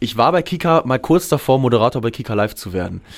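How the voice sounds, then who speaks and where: Ordinary pitch variation marks this man's very fast speech. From Germany, Hameln (Lower Saxony). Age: 20s. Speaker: pop musician. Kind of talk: radio interview. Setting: radio studio.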